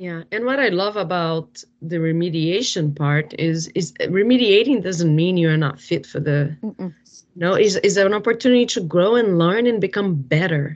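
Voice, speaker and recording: This woman has a normal speaking voice at a fairly low pitch. She talks at a moderate pace. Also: lively intonation. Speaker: podcast co-host, clinical director. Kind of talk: interview.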